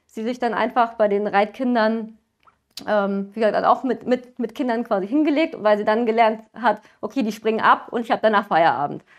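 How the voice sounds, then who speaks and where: Against a quiet background, a woman keeps a moderate pace and a fairly even intonation. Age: 20s. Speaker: veterinary student and pony owner; interviewee. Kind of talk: interview. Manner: hesitant, many fillers. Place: home room.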